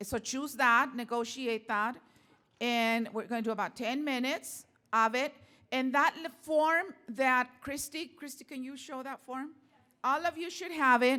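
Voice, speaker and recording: A woman speaks at a fairly slow pace in a raised, projected, high voice with a bright, sharp tone and big swings in loudness. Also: ordinary pitch variation. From Mexican-American community, US. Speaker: workshop facilitator. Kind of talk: workshop facilitation. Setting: conference workshop with audience. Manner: halting, many fillers. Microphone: without microphone at one point.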